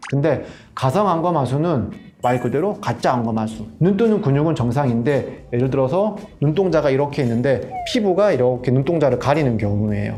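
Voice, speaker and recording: A man with a fairly high pitch speaks at a fairly quick pace, his intonation lively and his loudness very even. Music plays in the background, and audible room echo is present. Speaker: plastic surgeon. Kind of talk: expert explanation in casual chat. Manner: fast.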